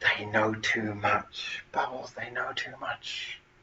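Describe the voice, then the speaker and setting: Noticeable background noise runs through the clip. A man talks at a moderate pace over it. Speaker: livestream host. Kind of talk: live stream chat. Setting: home front room. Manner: quieter than usual.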